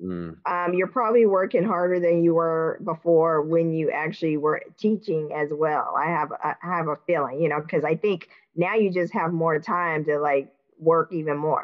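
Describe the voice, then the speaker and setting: Intonation stays fairly even at a moderate speed. It is an ordinary speaking voice. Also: woman, fairly low pitch for a woman. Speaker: podcast host. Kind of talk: interview, casual chat.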